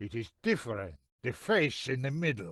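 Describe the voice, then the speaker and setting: A man speaks at a moderate pace in a put-on character voice of medium pitch, his pitch swinging very widely, against a quiet background. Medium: video game. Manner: stern, proud.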